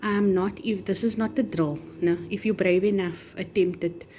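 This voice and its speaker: A woman's voice at a medium pitch. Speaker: food vlogger. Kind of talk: cooking tutorial. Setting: home kitchen. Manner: loud; animated.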